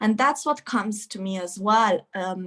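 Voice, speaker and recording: With ordinary pitch variation, this voice sounds somewhat breathy. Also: woman. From rural Romania. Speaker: workshop participant. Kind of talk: casual sharing in group video call.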